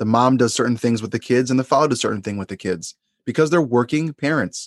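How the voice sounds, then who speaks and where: This man has an ordinary speaking voice at a medium pitch, with ordinary pitch variation. The sound is dry and close with no echo, and the background is quiet. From US Northeast, Long Island, New York. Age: 30s. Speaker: therapist and podcast host. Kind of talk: casual interview chat.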